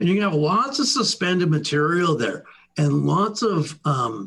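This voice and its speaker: With lively intonation and a moderate pace, this is a plain, everyday voice. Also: man. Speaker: sales engineer presenting products. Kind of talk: webinar product presentation. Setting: online webinar.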